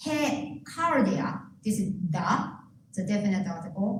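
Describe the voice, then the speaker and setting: Over noticeable background noise and audible room echo, a woman with a Japanese accent speaks very slowly at medium pitch, her voice swinging very widely up and down. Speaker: pastor. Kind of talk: sermon.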